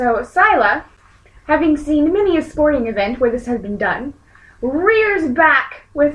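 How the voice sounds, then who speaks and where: Her pitch swings very widely as the woman speaks. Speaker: tabletop role-playing game player.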